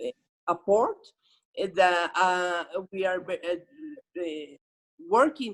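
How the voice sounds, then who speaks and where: Speech comes at a very slow pace. The voice carries a Spanish accent. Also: woman. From Mexico. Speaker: government official. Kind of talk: unprepared panel remarks. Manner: halting.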